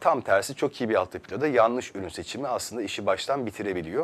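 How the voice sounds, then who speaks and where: The man's intonation is lively. He moves at a fairly quick pace. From Turkey, Istanbul. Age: 30s. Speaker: company founder; guest. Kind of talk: TV interview. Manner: hesitant, many filler sounds. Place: studio. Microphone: lapel.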